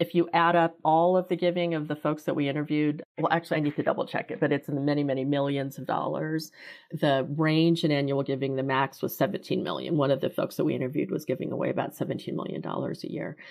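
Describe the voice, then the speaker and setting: Very deep and low in pitch, a woman talks very fast with an American accent. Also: hardly any pauses. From US Midwest, Kansas City. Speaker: philanthropy consultant. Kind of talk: interview.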